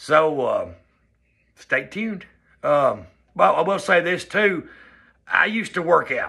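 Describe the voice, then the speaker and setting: A man with a Southern US accent, a bright, sharp tone and lively intonation, over a quiet background. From US South. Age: 40s. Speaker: vlogger. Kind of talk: personal vlog monologue. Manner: casual, conversational. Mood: upbeat, earnest. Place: home room. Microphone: phone near.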